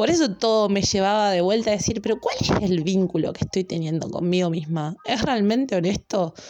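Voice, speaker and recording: In a Rioplatense accent, a woman talks at a fairly quick pace with hardly any pauses. Her medium pitch shows ordinary variation, and her loudness stays very even. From Argentina, La Plata. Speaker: astrology podcaster. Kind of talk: casual monologue.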